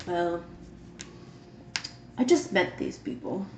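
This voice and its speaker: A female-sounding voice uses a gruff, put-on character voice over light background noise. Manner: reserved.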